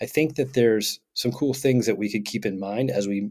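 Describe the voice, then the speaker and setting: This man talks at a fairly quick pace with an upbeat tone. His pitch is medium, and its variation is ordinary. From Vermont, US. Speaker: podcast co-host. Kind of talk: casual podcast conversation. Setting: remote recording. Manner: extroverted, upbeat.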